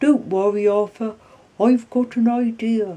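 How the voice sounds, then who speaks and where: A woman puts on a character voice, speaking at a fairly high pitch and a fairly slow pace with fairly even intonation. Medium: read story.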